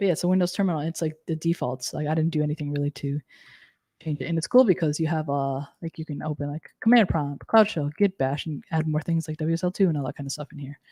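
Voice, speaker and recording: Delivered at a very fast pace, the voice has a dark, mellow tone and ordinary pitch variation, with a dry sound with no echo and a quiet background. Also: woman, very deep, low pitch for a woman. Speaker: cloud technology instructor. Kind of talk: live technical tutorial. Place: home room.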